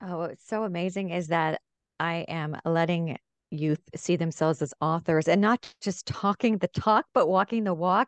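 At a moderate pace, a woman talks in a fairly low pitch with ordinary pitch variation, the sound dry and close with no echo and the background quiet. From Sacramento, California. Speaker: children's book author and publisher, TV news anchor. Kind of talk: interview conversation.

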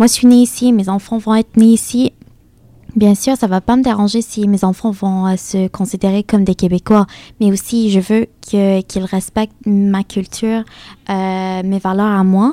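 Speaking with an Arabic accent, a woman uses a medium pitch, a dark, mellow tone and monotone, flat intonation. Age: 20s. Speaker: student. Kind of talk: group discussion.

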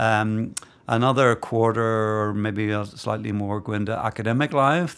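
With a Northern Irish accent, a man speaks at a fairly low pitch. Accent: Northern Irish (Belfast). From Northern Ireland, Belfast. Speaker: divinity school dean, historian. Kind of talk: interview. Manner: hesitant, many fillers.

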